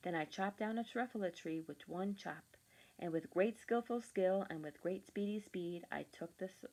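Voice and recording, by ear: Someone reading aloud in a natural voice, pitch varying in an ordinary way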